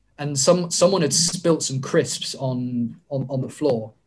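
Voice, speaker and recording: Somewhat breathy, a man speaks at a fairly high pitch. His pitch varies in an ordinary way. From southern England. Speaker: wrestler. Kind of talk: casual chat.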